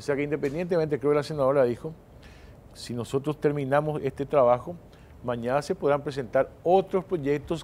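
In an ordinary speaking voice, a man talks at a fairly quick pace and fairly high pitch with ordinary pitch variation. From Paraguay. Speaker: senator. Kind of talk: political panel discussion. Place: studio. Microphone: lapel.

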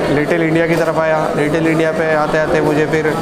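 A man at a fairly slow pace, against loud background noise. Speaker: travel vlogger. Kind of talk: casual vlog chat. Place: cafe. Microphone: lapel.

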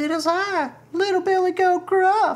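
At a fairly slow pace, someone delivers a put-on character voice pitched extremely high.

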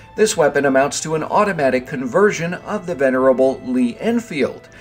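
Over background music, a man with a medium-pitched voice talks at a moderate pace with lively intonation. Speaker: gaming video creator. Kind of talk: game weapons overview narration. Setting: mobile recording setup.

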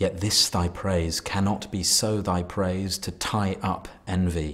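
In a very deep, low voice, a man speaks at a fairly slow pace with monotone, flat intonation. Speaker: actor reading poetry. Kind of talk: poetry reading. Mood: calm, measured, intimate. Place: studio.

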